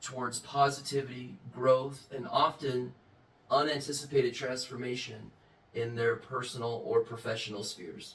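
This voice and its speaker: Fairly slow speech with ordinary pitch variation over noticeable background noise. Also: man. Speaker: self-help channel host. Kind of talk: monologue. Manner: mild speech impediment, barely noticeable.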